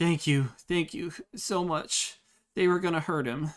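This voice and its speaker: A put-on character voice at a middle pitch moves at a moderate pace. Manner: grateful.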